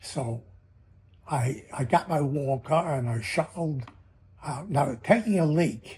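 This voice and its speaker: A man's fairly high-pitched, somewhat breathy voice has a dark, mellow tone and lively intonation. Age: 90s. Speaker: comedian and magician. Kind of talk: audition pitch. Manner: halting, many fillers.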